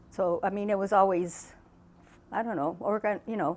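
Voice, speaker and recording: In a normal speaking voice, a woman talks with an American accent and fairly even intonation. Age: 60s. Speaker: interviewee, family member. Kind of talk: interview reminiscence.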